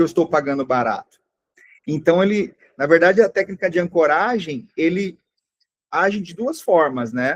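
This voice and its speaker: A man's high-pitched voice with lively intonation at a moderate pace, in a dry, close sound with no echo. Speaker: online sales course teacher. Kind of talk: live online class.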